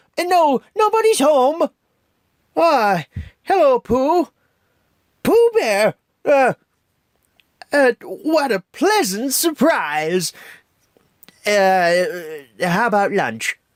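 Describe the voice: Using a put-on character voice, a man speaks at an extremely high pitch with very wide pitch swings, at a very slow pace full of long, frequent pauses.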